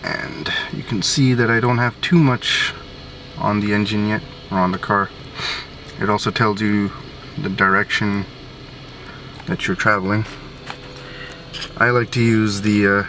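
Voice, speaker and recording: Long, frequent pauses break up speech at a moderate pace with ordinary pitch variation, set against noticeable background noise. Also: man, fairly low pitch for a man. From Sri Lankan Tamil. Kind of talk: casual car review to camera.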